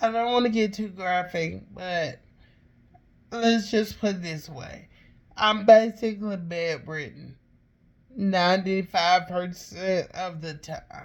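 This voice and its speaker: The speaker has an Alabama accent and talks at a very slow pace. Loudness swings widely while pitch varies in an ordinary way. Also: woman, medium pitch for a woman. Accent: Southern US (Alabama). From Alabama, US South. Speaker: podcaster, cancer patient. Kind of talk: personal testimony. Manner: halting, with fillers.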